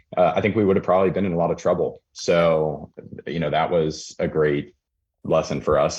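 A man with a West Coast accent and vocal fry talks at a moderate pace with fairly even intonation. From Portland, Oregon suburbs. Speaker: real-estate developer. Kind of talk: casual interview.

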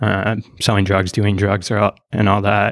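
A man with an American accent speaks at a fairly quick pace in a fairly low pitch, using an unremarkable speaking voice. The recording is very clean, with a silent background. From northern Minnesota, US. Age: 30s. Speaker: sociology doctoral researcher. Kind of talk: interview conversation.

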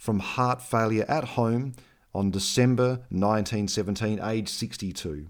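A man at a moderate pace with an Australian accent and ordinary pitch variation, on a very clean recording against a silent background. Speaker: podcast host. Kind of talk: scripted-style podcast presenting. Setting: studio. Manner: chatty, friendly.

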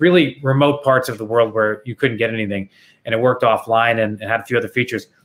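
A man speaks at a very fast pace. His voice sits at a medium pitch with fairly even intonation. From Canada, Toronto. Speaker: former Wall Street investor and nonprofit founder. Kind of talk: interview conversation.

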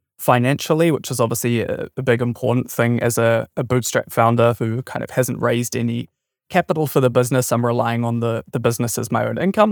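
With a New Zealand accent, a man talks at a fairly quick pace in a medium pitch, his intonation fairly even, captured dry and close with no echo on a very clean recording over a silent background. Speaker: software startup founder. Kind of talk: interview.

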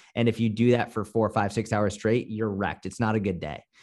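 A man with an American accent and an ordinary speaking voice talks at a fairly low pitch with fairly even intonation against a quiet background. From Boston, US. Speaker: personal trainer and online fitness coach. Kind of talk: casual interview. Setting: video call.

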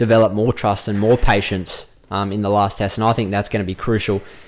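A man with an Australian accent speaks at a fairly quick pace in a fairly low voice. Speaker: cricket player and pundit. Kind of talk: casual chat.

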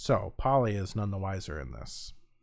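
This is a man speaking. He has an American accent. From US Midwest. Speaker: podcast co-host who narrates true crime. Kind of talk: true crime narration read from notes.

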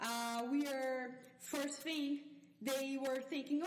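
A woman with a Portuguese accent speaks in a high pitch. Her fairly slow delivery comes with audible room echo. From Brazil. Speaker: neuroscience researcher, professor. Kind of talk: interview. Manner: hesitant, many fillers.

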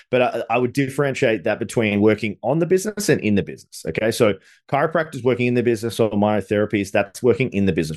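Talking at a very fast pace, a man with an Australian accent shows ordinary pitch variation. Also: quiet background. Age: 30s. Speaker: business coach. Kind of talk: interview. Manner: animated.

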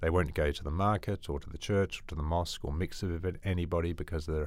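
Very deep and low, a man's voice comes with an Australian accent. He speaks at a very fast pace. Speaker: missionary doctor. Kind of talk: interview.

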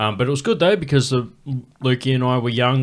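Here a man speaks with an Australian accent. He goes at a very fast pace with fairly even intonation. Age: 30s. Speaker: comedian, podcast host. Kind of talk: casual chat.

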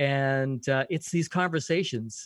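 A man with a Canadian accent speaks at a medium pitch. He has an ordinary speaking voice and a fairly slow pace. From Canada, Vancouver. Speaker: podcast coach and radio host. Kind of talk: interview conversation.

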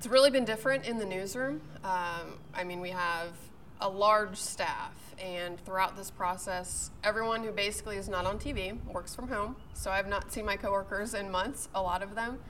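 A woman's medium-pitched voice at a moderate pace with ordinary pitch variation, audible room echo and noticeable background noise. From Pittsburgh, Pennsylvania. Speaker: TV meteorologist. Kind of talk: casual interview. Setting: golf club.

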